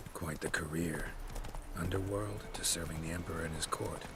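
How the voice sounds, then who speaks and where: Over loud background noise, a man puts on a character voice that is very deep and low, delivered at a moderate pace. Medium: machinima. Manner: low-key, laconic, dry.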